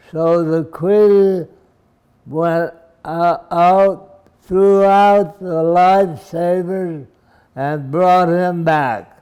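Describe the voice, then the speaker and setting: A man speaks at a very slow pace with a high pitch and ordinary pitch variation. His tone is dark and mellow. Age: 80s+. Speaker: elderly church member recounting his life. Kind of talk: life story reminiscence.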